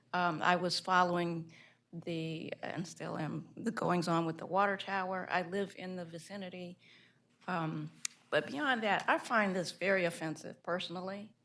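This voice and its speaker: A woman with an American accent speaks in a plain, everyday voice, fairly low in pitch, at a moderate pace with fairly even intonation. The recording is very clean, with a silent background. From Baltimore, Maryland. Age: 60s. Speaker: planning commissioner. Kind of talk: public meeting statement.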